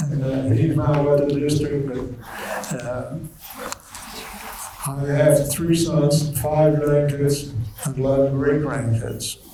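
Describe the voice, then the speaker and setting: Audible room echo and noticeable background noise surround a man with a fairly high pitch. He speaks in a flat monotone at a very slow pace, with long, frequent pauses. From Netherlands. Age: 90s. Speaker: Holocaust survivor speaker. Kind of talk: testimony. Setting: school assembly with students.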